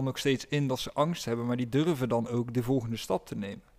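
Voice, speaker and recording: His speaking voice is unremarkable, pitched in the middle range for a man. The pace stays moderate and the intonation is fairly even. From Netherlands, village. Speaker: podcast co-host. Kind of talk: casual chat.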